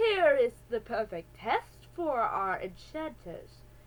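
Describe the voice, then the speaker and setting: A woman's high, put-on character voice at a fairly slow pace. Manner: evil, sinister.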